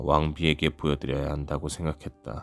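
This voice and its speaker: A man's very deep, low voice with vocal fry and a soothing, calm tone. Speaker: audiobook reader. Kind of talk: audiobook narration for sleep.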